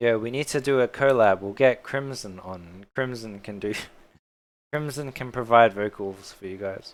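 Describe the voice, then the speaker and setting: On a very clean recording with a silent background, a man at medium pitch speaks with big swings in loudness. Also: ordinary pitch variation, moderate pace. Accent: Australian. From Australia. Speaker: 3D modelling streamer. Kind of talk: live-stream tutorial. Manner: casual, chatty.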